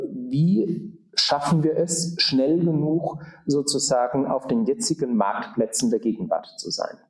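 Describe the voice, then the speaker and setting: This man's voice sits at a fairly high pitch. His pitch swings very widely. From Germany, southern Palatinate. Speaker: auxiliary bishop. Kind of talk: interview. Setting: conference room. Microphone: room echo.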